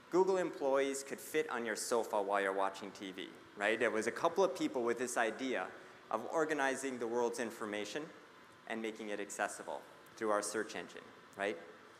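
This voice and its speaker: With audible room echo around him, a man speaks fairly quickly at medium pitch with lively intonation. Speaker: conference speaker on people analytics. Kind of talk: conference presentation. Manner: fast.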